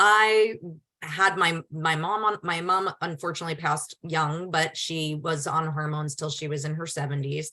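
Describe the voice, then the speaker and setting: A woman speaks at a fairly slow pace with a fairly low pitch. Her tone is bright and sharp, with ordinary pitch variation. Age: 50s. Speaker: physician. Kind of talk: webinar Q&A. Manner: conversational.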